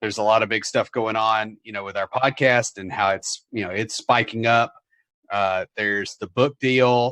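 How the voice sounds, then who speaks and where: A man with a Southern US accent speaks at medium pitch with fairly even intonation and a bright, sharp tone, his loudness swinging widely in a dry, close sound with no echo over a quiet background. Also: moderate pace. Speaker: software developer and podcaster. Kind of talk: casual interview. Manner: hesitant, many fillers.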